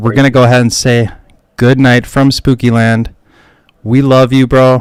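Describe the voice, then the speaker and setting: Here a man speaks at a fairly slow pace. His pitch is medium. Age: 30s. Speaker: podcast host. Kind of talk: casual livestream chat. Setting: livestream with chat. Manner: animated.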